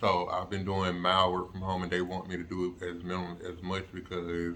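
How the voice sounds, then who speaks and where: In a bright, sharp tone, a man with a very deep, low pitch speaks at a fairly slow pace. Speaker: vlogger recovering from jaw surgery. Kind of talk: casual vlog update. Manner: halting, many fillers.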